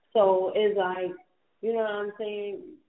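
Her voice is a woman's, set at a medium pitch.

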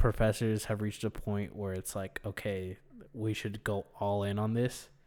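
On a very clean recording with a silent background, a man with an ordinary speaking voice talks at a moderate pace and a fairly low pitch. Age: 20s. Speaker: podcast co-host and college student. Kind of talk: casual chat.

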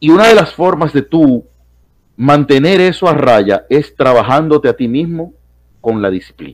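An unremarkable speaking voice from a man, fairly high in pitch, with lively intonation at a fairly slow pace. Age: 30s. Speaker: philosophy professor. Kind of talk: casual chat.

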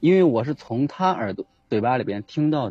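His intonation rises and falls in a lively way. The man's tone is dark and mellow. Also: dry, close sound with no echo. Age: 30s. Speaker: caller seeking relationship advice. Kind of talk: call-in advice conversation.

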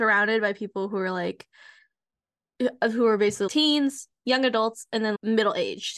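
A woman with an ordinary speaking voice, fairly high in pitch, with fairly even intonation, dry, close sound with no echo, and a quiet background. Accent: American. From United States. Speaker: podcast co-host and university researcher. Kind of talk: casual chat.

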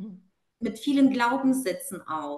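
A woman at a very slow pace. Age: 30s. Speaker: client and corporate manager. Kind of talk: testimony. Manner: hesitant with fillers.

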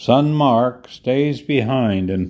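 The tone is dark and mellow, with an American accent. Intonation stays lively throughout. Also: man. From Detroit, Michigan. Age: 90s. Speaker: podcast host, retiree. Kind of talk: reminiscing solo monologue, scripted-style podcast. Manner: reflective, relaxed.

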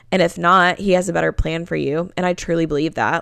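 On a very clean recording with a silent background, a woman of fairly low pitch speaks in an animated tone. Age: 20s. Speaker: podcast host. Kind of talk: casual monologue.

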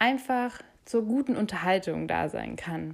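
The recording is very clean, with a silent background. A woman talks at a fairly high pitch. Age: 20s. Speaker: podcast host. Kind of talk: podcast monologue.

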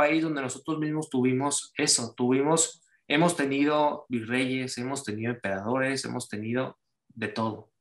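At a moderate pace, a man talks in a plain, everyday voice whose pitch shows ordinary variation. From Mexico, Cancún. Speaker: writer. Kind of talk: casual chat.

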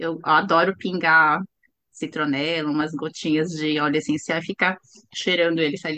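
A woman's fairly low voice with a bright, sharp tone. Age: 50s. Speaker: startup founder, chemical engineer. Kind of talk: interview.

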